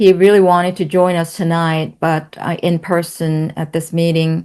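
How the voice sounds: A woman's fairly low voice has a slightly mellow tone, clear and smooth. She speaks at a fairly slow pace with little pitch movement.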